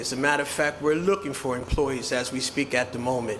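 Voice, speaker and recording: Fairly even intonation is heard through noticeable background noise and audible room echo. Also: man. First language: Haitian Creole. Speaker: restaurant owner. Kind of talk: press conference speech.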